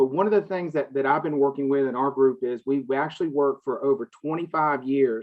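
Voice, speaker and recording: In a Southern US accent, a man talks at a very fast pace with a fairly high pitch and ordinary pitch variation. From US South. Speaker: healthcare and cannabis business consultant. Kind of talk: panel discussion.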